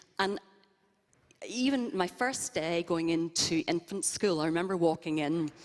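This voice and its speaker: A woman with a Northern Irish accent speaks at a fairly low pitch. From Northern Ireland, Belfast. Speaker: interview guest at church service. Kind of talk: interview testimony. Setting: church service with congregation.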